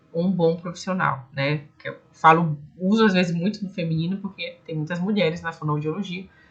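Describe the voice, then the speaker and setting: Somewhat breathy and fairly low in pitch, a woman talks at a fairly quick pace with fairly even intonation. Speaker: speech therapist and online course teacher. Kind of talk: online lecture ending in a sales pitch.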